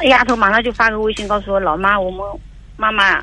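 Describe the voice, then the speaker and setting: A woman talks at a very fast pace with fairly even intonation. There is noticeable background noise. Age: 50s. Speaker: caller, mother-in-law seeking advice. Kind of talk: call-in advice conversation. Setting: phone call. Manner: halting, repetitive.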